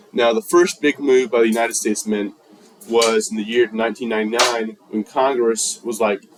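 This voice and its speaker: Male speech in an American accent, background noise clearly noticeable. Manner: casual slang delivery; fast.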